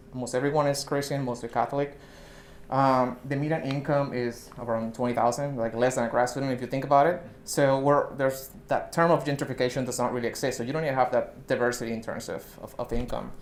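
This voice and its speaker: A man's medium-pitched, monotone, flat delivery at a very fast pace, in a Puerto Rican accent. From Puerto Rico, southern rural part. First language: Spanish. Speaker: scientist, research associate. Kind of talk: talk to an audience.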